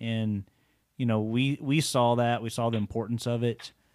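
The recording is very clean with a silent background. A man with a Texan accent speaks at a medium pitch and moderate pace with fairly even intonation. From Texas (Waco). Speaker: bow shop co-owner and hunter. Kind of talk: casual chat. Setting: separate rooms.

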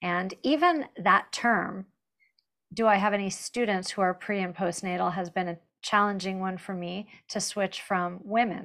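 A woman's medium-pitched voice, a plain, everyday voice, at a moderate pace with fairly even intonation. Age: 50s. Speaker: fitness instructor. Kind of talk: webinar panel discussion.

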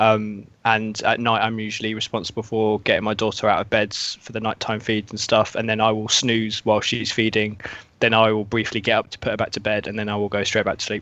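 At a fairly quick pace, a man with a fairly low pitch talks in a monotone, flat intonation. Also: hardly any pauses. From UK. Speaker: video game journalist. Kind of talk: casual chat.

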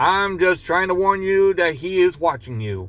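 Putting on a character voice, a man speaks high-pitched at a moderate pace. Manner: squawking.

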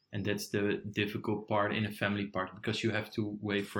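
A man with a Dutch accent, fairly low-pitched, bright and sharp in tone, at a moderate pace. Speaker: podcast co-host. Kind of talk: casual chat.

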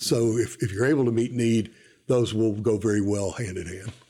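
A man talks at a moderate pace with a medium pitch and ordinary pitch variation. His tone is dark, mellow and somewhat breathy, on a very clean recording with a silent background. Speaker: university enrollment administrator. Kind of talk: interview. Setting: studio.

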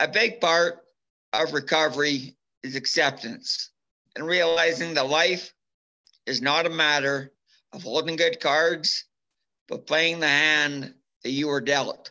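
A man's fairly high voice with a Canadian prairie accent, vocal fry, a bright, sharp tone, ordinary pitch variation, and long, frequent pauses. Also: fairly slow pace. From Alberta, Canada. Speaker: former bull rider and brain injury survivor. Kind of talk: testimony; casual interview.

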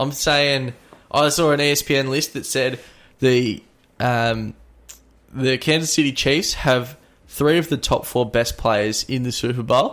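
A man with an Australian accent speaks at a very slow pace, leaving long, frequent pauses. His intonation stays fairly even. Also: medium pitch for a man. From Melbourne, Australia. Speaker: sports podcast host. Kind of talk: casual chat. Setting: studio.

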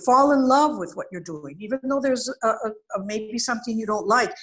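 This woman has a high-pitched voice. Her intonation is lively. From Venezuela. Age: 70s. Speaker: college counselor. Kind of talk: interview.

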